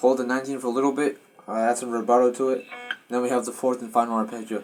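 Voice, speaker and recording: This man talks at a very fast pace in a medium pitch, his intonation flat and monotone. Music plays in the background. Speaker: guitar teacher. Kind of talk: tutorial.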